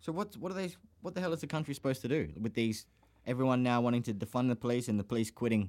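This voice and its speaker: Delivered at a very fast pace, the speech has lively intonation in an Australian accent. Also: man, medium pitch for a man. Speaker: podcast host. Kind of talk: casual chat. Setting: studio.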